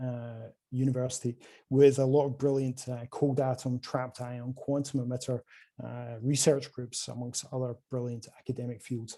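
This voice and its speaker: Against a quiet background, a man with a Scottish accent speaks at a moderate pace in a medium pitch, his tone dark and mellow and his intonation monotone and flat. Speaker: quantum hardware sales representative. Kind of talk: conference presentation.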